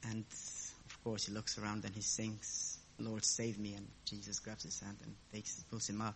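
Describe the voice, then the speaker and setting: Speaking with a non-native accent, a man talks at a fairly slow pace in a fairly low pitch. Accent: foreign. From abroad, a different country. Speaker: lay preacher. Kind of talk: sermon.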